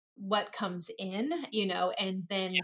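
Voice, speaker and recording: A woman speaks in a normal speaking voice at a medium pitch. Her pace is fairly slow. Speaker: guest, mother living abroad. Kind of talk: casual interview chat.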